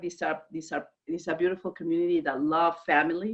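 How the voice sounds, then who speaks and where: A woman with a Mexican accent, fairly low in pitch, at a fairly quick pace. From Mexico, Guadalajara. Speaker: direct selling leader. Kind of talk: business video call interview. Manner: animated.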